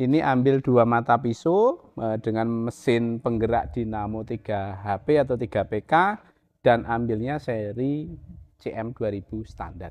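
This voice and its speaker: Against a quiet background, a man speaks very slowly at medium pitch, with ordinary pitch variation. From Central Java, Indonesia. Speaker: farm machinery seller. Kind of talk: product demo talk. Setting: workshop demo, filming a video. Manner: enthusiastic, insistent, repeating 'teman-teman'. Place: garage.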